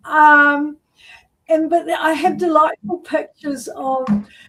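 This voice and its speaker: In a New Zealand accent, a woman speaks at a very slow pace. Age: 70s. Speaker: artist. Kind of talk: interview. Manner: halting.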